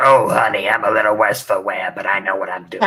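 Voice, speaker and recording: A raspy put-on character voice from a man, at a very fast pace. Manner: weary, world-wise.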